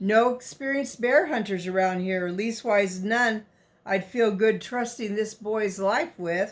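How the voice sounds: What comes through is a natural reading voice.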